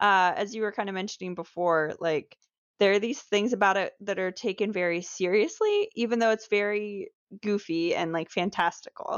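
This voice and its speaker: A woman's an ordinary speaking voice, moderate in pace and medium in pitch. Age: 20s. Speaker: podcast co-host, host's wife. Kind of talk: casual chat.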